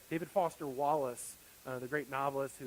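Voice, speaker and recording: Fairly high in pitch, a man with an American accent talks at a fairly quick pace. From US South. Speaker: pastor. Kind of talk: sermon. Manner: fast.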